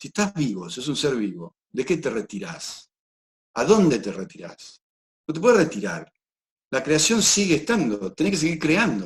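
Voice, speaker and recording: In an Argentine accent, a man speaks at a fairly high pitch with vocal fry. His pitch swings very widely. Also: moderate pace. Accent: Argentine Spanish (Rioplatense). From Argentina. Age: 60s. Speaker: personal development speaker, documentary maker. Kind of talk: interview.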